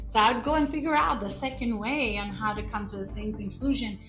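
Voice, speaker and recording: Music plays in the background as a woman speaks in an Albanian accent. Her intonation is lively and her pitch fairly high. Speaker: real estate business owner. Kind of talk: interview answer.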